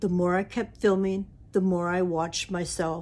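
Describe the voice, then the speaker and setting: A woman with a medium-pitched voice speaks at a fairly slow pace in a very clean recording with a silent background. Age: 60s. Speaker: YouTuber. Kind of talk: personal talk to camera.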